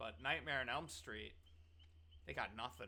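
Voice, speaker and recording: A man talks with vocal fry. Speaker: gaming content creator. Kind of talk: casual unscripted commentary. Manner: casual, conversational with fillers.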